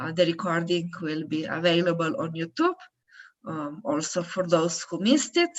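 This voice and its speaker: Speaking in a Slovenian accent at a moderate pace, a woman uses a fairly low pitch with ordinary pitch variation and big swings in loudness. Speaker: event moderator. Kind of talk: event moderation and closing remarks. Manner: hesitant, many fillers.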